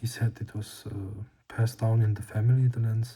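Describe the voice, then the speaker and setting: The delivery is fairly slow and carries a non-native accent. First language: not English. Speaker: lens restoration hobbyist. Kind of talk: tutorial. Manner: hesitant, many fillers.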